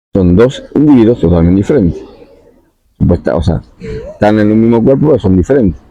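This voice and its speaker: In a plain, everyday voice, the speaker goes at a fairly quick pace with lively intonation and very even loudness. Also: man, fairly low pitch for a man. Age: 60s. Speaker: spiritual talk host. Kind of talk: monologue talk.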